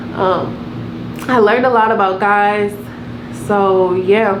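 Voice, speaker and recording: A woman with an American accent is heard with noticeable background noise and audible room echo. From Providence, Rhode Island, US. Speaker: YouTuber. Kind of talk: storytime vlog. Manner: fast; animated.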